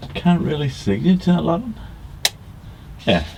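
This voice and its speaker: A man speaks over noticeable background noise. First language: not English. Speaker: vlogger. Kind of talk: casual vlog narration. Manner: halting.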